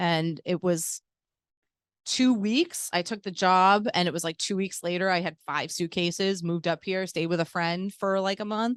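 In an ordinary speaking voice, a woman talks at a moderate pace and medium pitch with fairly even intonation, in a dry, close sound with no echo and a quiet background. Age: 40s. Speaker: cannabis event organizer. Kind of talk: casual chat. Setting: dispensary venue.

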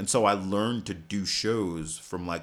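In an American accent, a man talks at a fairly slow pace with fairly even intonation. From New York City, Staten Island. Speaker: stage actor. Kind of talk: casual chat.

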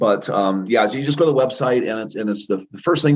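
With lively intonation and a fairly quick pace, the man has a normal speaking voice. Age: 50s. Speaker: chiropractor and energy healer. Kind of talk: interview; guided healing exercise.

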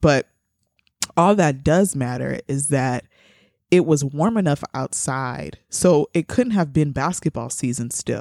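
Lively intonation with vocal fry and a dark, mellow tone, dry and close with no echo in a very clean recording over a silent background. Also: woman. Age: 20s. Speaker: podcast co-host. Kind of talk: casual chat.

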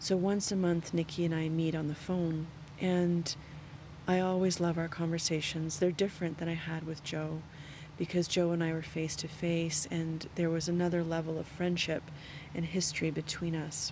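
A woman's fairly low, somewhat breathy voice with a dark, mellow tone, monotone, flat intonation, and a moderate pace. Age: 50s. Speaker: yoga teacher and podcast host. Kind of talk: solo reflective monologue.

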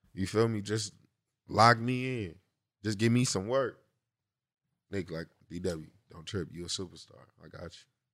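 Long, frequent pauses break up a man's speech at a moderate pace, and his loudness swings widely. His pitch is fairly low, with ordinary variation. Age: young. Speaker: rapper. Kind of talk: casual interview.

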